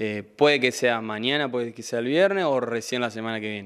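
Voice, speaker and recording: Over a quiet background, this voice moves at a fairly quick pace with hardly any pauses, ordinary pitch variation and big swings in loudness. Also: man. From Argentina, Santa Fe province. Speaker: incoming city councillor and sports figure; incoming town councillor. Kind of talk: interview. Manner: hesitant, repeats words. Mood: grateful, upbeat. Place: studio. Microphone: handheld.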